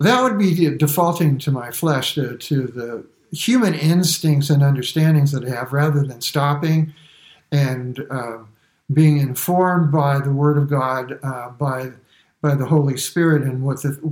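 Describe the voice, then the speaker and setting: A somewhat breathy man's voice, fairly high in pitch, at a fairly slow pace. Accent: American. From US, Brooklyn, New York. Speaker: church member giving testimony. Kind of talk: testimony.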